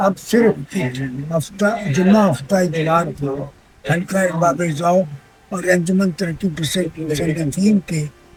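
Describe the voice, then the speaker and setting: Music plays in the background as a man speaks. His pitch is high, with ordinary variation. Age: 80s+. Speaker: poet. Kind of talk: interview answer.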